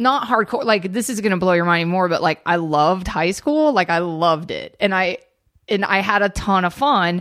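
A plain, everyday voice comes through with lively intonation. The pace is fairly quick. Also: woman, medium pitch for a woman. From US South, suburban Atlanta, Georgia. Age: 30s. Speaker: comedy writer and comedian. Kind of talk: casual chat.

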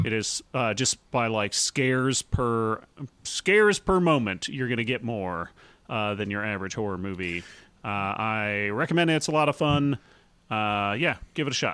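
Bright, sharp tone and lively intonation from a man of medium pitch with a slight Southern accent, moderate pace, on a very clean recording with a silent background. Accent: slight southern twang. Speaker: comedy podcast co-host. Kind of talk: casual chat.

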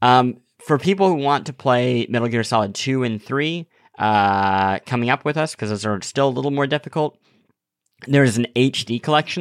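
A man speaks in an ordinary speaking voice at a medium pitch with lively intonation. The recording is very clean with a silent background, dry and close with no echo. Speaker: podcast co-host. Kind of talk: casual banter, podcast chat.

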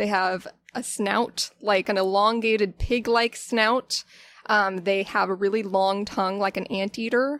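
Dry and close with no echo, a woman's medium-pitched voice comes through. She talks at a very slow pace with fairly even intonation. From Florida, Pinellas County. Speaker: zookeeper. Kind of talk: casual interview chat.

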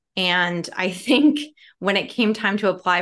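A woman with an American accent speaks at a medium pitch with lively intonation against a quiet background. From Chicago. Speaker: TV comedy writer. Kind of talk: interview. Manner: animated.

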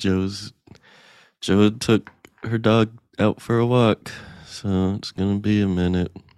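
Very slowly and with long, frequent pauses, a man speaks in a fairly low, monotone, flat voice. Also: dry, close sound with no echo. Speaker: comedy podcast co-host. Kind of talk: casual comedic game-show chat. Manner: playful.

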